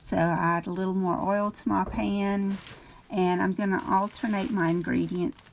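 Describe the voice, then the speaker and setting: A Louisiana accent at a moderate pace over noticeable background noise. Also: woman. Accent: Southern US, Louisiana. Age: 50s. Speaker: home cook, cooking channel host. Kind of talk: cooking tutorial. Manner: casual, with frequent filler um.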